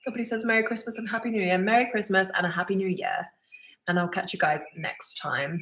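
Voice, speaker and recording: A woman talks very fast with a southern English accent. Her pitch is medium, with ordinary variation. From England, Suffolk. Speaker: vlogger. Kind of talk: live Q&A stream. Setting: live stream at home. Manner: casual, hesitant with many ums.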